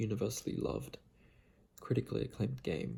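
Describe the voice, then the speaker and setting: Soft-spoken, a man talks at a moderate pace in a relaxed tone. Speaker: video game fan and ASMR-style video creator. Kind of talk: casual talk to camera. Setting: late at night, quiet room. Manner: soft-spoken, relaxed.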